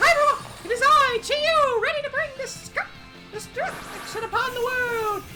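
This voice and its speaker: In a squeaky put-on character voice, the speaker talks at a moderate pace with an extremely high pitch. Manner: theatrical, menacing.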